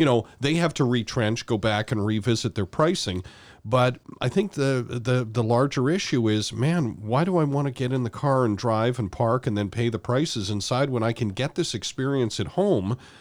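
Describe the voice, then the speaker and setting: A man with a normal speaking voice and a Canadian accent, medium in pitch, with lively intonation at a moderate pace. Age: 50s. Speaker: sports radio host and former football communications staffer. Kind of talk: casual interview.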